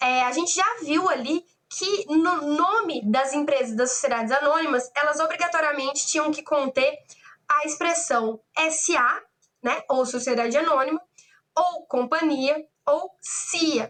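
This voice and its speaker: At a fairly slow pace, a woman speaks in a high pitch with ordinary pitch variation and very even loudness. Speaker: law lecturer. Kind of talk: online lecture. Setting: online class.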